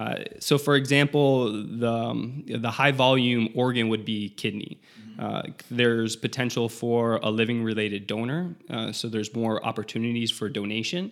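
An unremarkable speaking voice from a man with an American accent, medium pitch, fairly even intonation and a moderate pace, in a very clean recording with a silent background. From South Florida. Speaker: transplant pharmacist. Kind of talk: interview.

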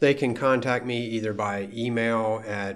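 There's audible room echo as a man speaks very slowly at a fairly low pitch. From Maryland, US (Frederick). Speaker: school board president. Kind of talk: interview.

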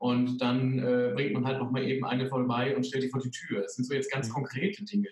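Noticeable background noise sits behind a man speaking at a fairly quick pace. His pitch is medium, with ordinary variation. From Sauerland, Germany. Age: 30s. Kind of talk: interview.

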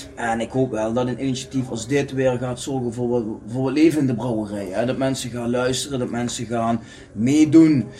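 A man talks with fairly even intonation while noticeable background noise carries on. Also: medium pitch for a man, moderate pace. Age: 40s. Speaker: podcast co-host, football fan. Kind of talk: casual chat.

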